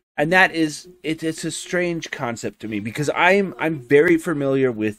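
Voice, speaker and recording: A man's normal speaking voice with lively intonation at a fairly slow pace. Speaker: podcast host. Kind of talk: casual chat.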